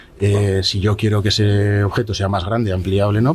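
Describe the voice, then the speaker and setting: Over noticeable background noise, a man speaks at a fairly quick pace with a fairly low pitch. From Spain, Zaragoza. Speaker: architect. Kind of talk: interview. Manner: halting.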